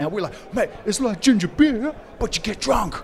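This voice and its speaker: Noticeable background noise sits behind the speaker. He is a man with a New Zealand accent and lively intonation. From New Zealand, Wellington. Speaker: guest. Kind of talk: casual chat. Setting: pub.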